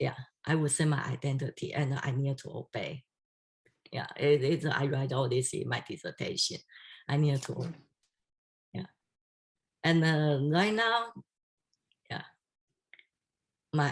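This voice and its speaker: Pausing long and often at a fairly slow pace, a woman with a Chinese accent speaks in a very deep, low pitch that is somewhat breathy, with ordinary pitch variation. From Taiwan or China (Chinese-speaking). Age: 60s. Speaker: doctoral candidate. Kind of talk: dissertation defense Q&A. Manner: halting.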